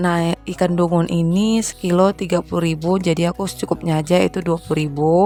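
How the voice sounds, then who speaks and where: A woman talks at a very fast pace with hardly any pauses, in a monotone, flat intonation. Noticeable background noise sits behind her. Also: fairly low pitch for a woman. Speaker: homemaker vlogger. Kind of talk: voiceover vlog narration.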